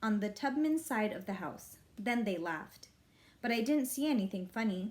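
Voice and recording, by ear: Lively intonation marks this passage of reading aloud in a natural voice.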